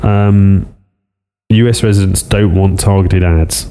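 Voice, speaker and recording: Very slowly, a man speaks. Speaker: podcast host. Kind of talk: casual tech news chat.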